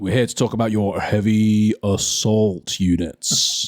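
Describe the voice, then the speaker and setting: A man puts on a character voice, speaking at a fairly low pitch and a fairly slow pace. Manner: robotic.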